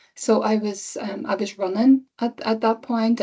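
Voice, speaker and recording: Speaking with an Irish accent, a woman has a medium-pitched voice. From Ireland. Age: 50s. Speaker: cancer patient. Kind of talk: testimony.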